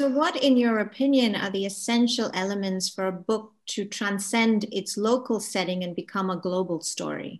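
A woman speaks at a moderate rate with ordinary pitch variation, the background quiet. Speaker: moderator. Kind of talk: panel discussion. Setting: video call. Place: home room. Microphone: video call.

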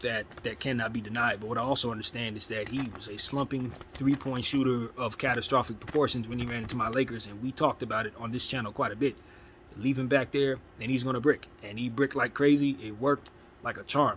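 Light background noise is present. A man speaks at a very fast pace with fairly even intonation. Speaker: sports fan vlogger. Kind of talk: casual commentary. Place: home room. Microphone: phone near.

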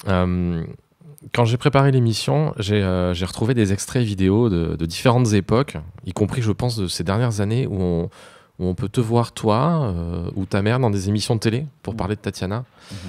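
A man with an unremarkable speaking voice talks at a moderate pace, his pitch fairly low and his pitch variation ordinary. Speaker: theatre podcast host. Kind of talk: interview. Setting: studio.

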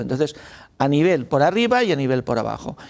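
At a fairly quick pace, a man talks in a fairly high pitch. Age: 60s. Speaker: mining and renewables industry panelist; panelist. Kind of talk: panel discussion. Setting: hybrid event room with audience. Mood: informal, joking at times. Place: studio. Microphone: lapel.

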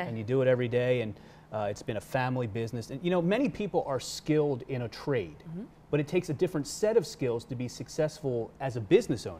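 Somewhat breathy and dark, mellow in tone, a man speaks at a very fast pace. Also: lively intonation. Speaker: TV news feature reporter. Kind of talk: casual studio chat. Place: studio. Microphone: lapel.

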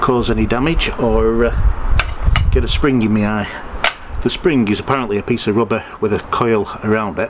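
Over noticeable background noise, a man speaks at a fairly low pitch. His intonation stays fairly even. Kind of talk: tutorial. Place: street.

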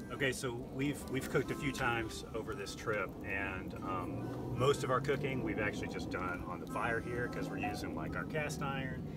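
With music in the background, a man talks at a moderate pace with ordinary pitch variation and hardly any pauses, in a dry sound with no echo. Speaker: camping vlogger. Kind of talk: casual vlog chat. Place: open country.

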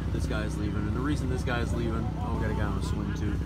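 A man is speaking over loud background noise. The sound is dry, with no echo. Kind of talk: casual vlog chat. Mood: relaxed, proud. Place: garden. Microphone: phone near.

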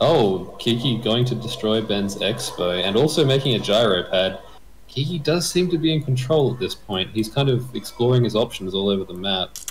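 Noticeable background noise sits behind this man. His medium-pitched voice has lively intonation. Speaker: game commentator. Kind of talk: live sports-style game commentary. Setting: video channel, recorded commentary. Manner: animated play-by-play, quick.

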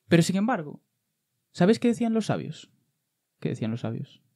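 A man's high-pitched, dark, mellow voice at a moderate pace, with very wide pitch swings, long, frequent pauses and a quiet background. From Andalusia, Spain. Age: 30s. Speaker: comedian. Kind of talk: comedic banter. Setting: studio. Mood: joking, playful. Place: studio. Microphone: studio mic.

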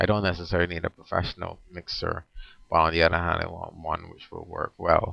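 Very fast and monotone, a man with a very deep, low pitch delivers his words in a bright, sharp tone, recorded dry and close with no echo. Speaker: vlogger. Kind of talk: casual video diary. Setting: home webcam recording at night.

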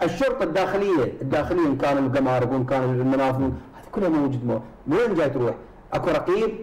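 A man's fairly high voice at a very fast pace. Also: ordinary pitch variation. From Iraq. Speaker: politician from a parliamentary coalition. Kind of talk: televised political debate. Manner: animated. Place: studio.

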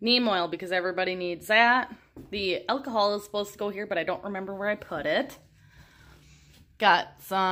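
A woman speaks at a fairly quick pace. Her tone is bright and sharp. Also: ordinary pitch variation. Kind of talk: casual vlog chat. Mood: relaxed, wry. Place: home room. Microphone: phone near.

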